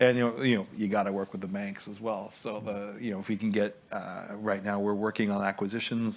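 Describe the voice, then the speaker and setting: Speaking very fast in a Quebec French accent, a man keeps a fairly low pitch and fairly even intonation. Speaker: investor. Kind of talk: panel discussion.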